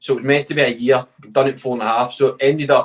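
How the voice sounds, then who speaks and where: A man with a Scottish accent talks at a very fast pace. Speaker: professional footballer. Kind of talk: podcast interview, casual chat. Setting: podcast recording. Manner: monotone.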